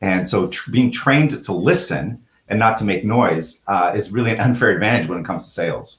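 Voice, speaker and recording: A man with a fairly low pitch speaks at a fairly quick pace, somewhat breathy, with lively intonation. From Canada. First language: French. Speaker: real estate executive. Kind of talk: casual chat.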